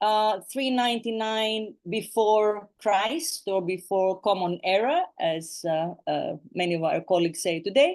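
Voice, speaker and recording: A woman with a non-native accent speaks at a medium pitch and a fairly slow pace. Her intonation is lively, and she hardly pauses. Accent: non-native English speaker. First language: Greek. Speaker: professor of ancient philosophy. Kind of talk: lecture. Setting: video call. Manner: halting, many fillers.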